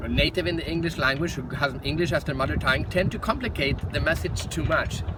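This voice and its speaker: With a Swedish accent, a man speaks in a fairly high pitch at a fairly quick pace, and noticeable background noise is present. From Sweden. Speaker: professional speaker. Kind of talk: direct-to-camera talk.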